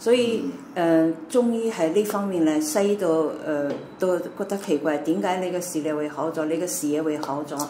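A woman's fairly low-pitched voice with ordinary pitch variation, audible room echo and light background noise. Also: moderate pace. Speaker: doctor. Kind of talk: interview answers, explanatory. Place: home room. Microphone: camera far.

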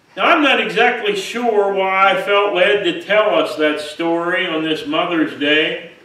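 Audible room echo surrounds a man's high-pitched voice, which shows ordinary pitch variation. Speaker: pastor. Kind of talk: sermon. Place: church. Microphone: podium.

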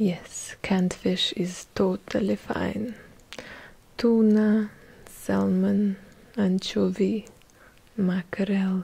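A soft-spoken woman talks at a very slow pace. She leaves long, frequent pauses. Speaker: content creator. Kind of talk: soft-spoken ASMR-style role-play talk. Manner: soft-spoken, close-mic, heavy Russian accent. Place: home room. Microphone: studio mic.

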